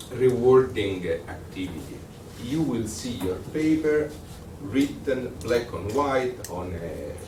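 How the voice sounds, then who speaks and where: Spoken very slowly with an Italian accent, the voice carries audible room echo. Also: man. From Italy. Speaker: lecturer. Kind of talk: lecture. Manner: halting.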